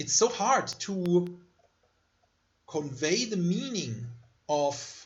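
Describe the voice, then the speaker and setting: With a German accent, a man speaks very slowly in a high voice, using very wide pitch swings and long, frequent pauses amid audible room echo. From Germany. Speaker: university lecturer. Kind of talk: lecture.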